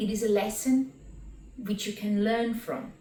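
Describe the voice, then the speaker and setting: Speaking fairly slowly with a non-native accent, a woman keeps a fairly high pitch and fairly even intonation. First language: not English. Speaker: spiritual teacher and qigong instructor. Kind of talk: reading and commentary on spiritual text.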